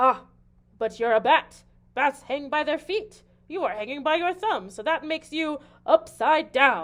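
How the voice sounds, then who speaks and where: A woman's put-on character voice, raised and projected, high in pitch at a moderate pace. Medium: read story.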